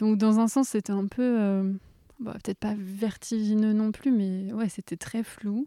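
The voice moves at a very slow pace with a dark, mellow tone and flat, monotone intonation. The sound is dry and close, with no echo. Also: woman, fairly high pitch for a woman, very clean recording, silent background. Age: 20s. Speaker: doula and nursing assistant. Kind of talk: personal testimony.

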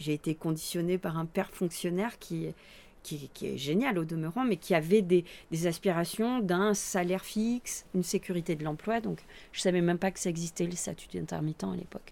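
A woman's dark, mellow voice with ordinary pitch variation, captured in a very clean recording against a silent background. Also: fairly low pitch for a woman, moderate pace. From Roya valley, Alpes-Maritimes, France. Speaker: clown performer. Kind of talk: interview. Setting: open veranda.

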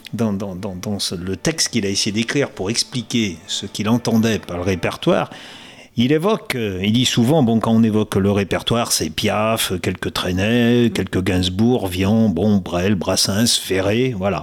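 A man with a normal speaking voice, fairly low pitch, ordinary pitch variation and a fairly slow pace. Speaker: interviewer. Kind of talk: interview.

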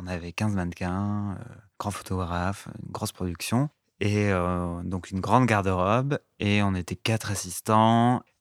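At a fairly slow pace, a man with a fairly low pitch speaks with fairly even intonation in a very clean, dry, close recording with a silent background and no echo. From France, Lot (southwest). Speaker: fashion stylist. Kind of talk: interview. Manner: halting, many hesitations.

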